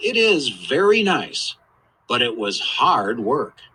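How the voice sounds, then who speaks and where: A man puts on a high-pitched character voice. He talks at a fairly slow pace. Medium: read story. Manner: calm, reassuring.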